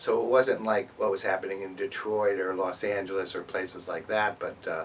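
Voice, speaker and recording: Noticeable background noise is present. Over it, the man speaks fairly quickly. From US Northeast, Springfield, Massachusetts. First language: Greek. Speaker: professor. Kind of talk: interview. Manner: halting, many repetitions and fillers.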